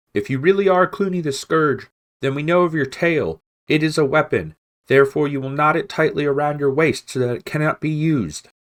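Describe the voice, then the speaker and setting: The speaker performs in a put-on character voice. The delivery is fairly quick. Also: man, fairly high pitch for a man. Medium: read story.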